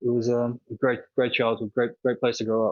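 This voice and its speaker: Recorded dry and close with no echo, a man with an Australian accent speaks at a moderate pace in a medium pitch. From Australia, Sydney (Manly). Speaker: world traveler, cyclist. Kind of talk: podcast interview. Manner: casual, filler-heavy.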